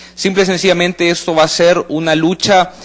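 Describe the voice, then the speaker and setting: An ordinary speaking voice from a man, fairly high in pitch, at a moderate pace. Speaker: political analyst. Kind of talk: panel discussion on live radio/TV talk show.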